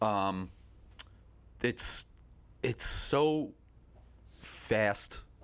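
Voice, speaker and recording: A man speaks with an American accent. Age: 40s. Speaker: music photographer. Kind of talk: casual chat.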